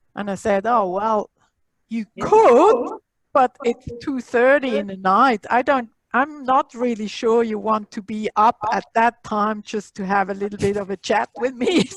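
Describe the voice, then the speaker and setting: A woman speaks in a Swiss accent at a fairly slow pace. Her fairly high voice shows ordinary pitch variation, with a dry, close sound and no echo. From Switzerland. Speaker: library technology instructor. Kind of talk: online workshop, casual chat. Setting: video call.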